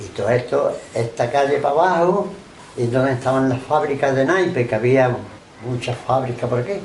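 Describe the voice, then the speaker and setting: Recorded with audible room echo and noticeable background noise, a man with an Andalusian accent speaks at a medium pitch and moderate pace with ordinary pitch variation. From Andalusia, Málaga coast (Benalmádena). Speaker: oral history interviewee. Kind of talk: oral history interview.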